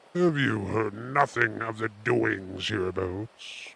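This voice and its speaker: A man puts on a character voice, growling at a fairly low pitch. His pace is fairly slow. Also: lively intonation. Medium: read story.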